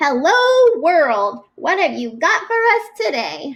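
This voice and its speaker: In a loud, squeaky, put-on character voice, the speaker swings widely in pitch at a fairly slow pace. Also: woman, extremely high pitch for a woman. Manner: cheerful, hearty.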